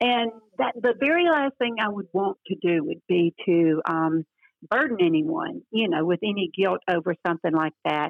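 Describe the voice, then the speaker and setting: A woman's voice with very wide pitch swings at a moderate pace. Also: medium pitch for a woman. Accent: Southern US. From US South, northeast Louisiana. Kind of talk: interview about faith.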